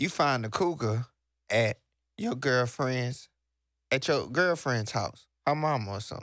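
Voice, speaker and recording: A man with an American accent speaks at a fairly slow pace and a medium pitch, using ordinary pitch variation and long, frequent pauses, on a very clean recording with a silent background. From Texas. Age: 30s. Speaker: internet radio host. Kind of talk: casual chat.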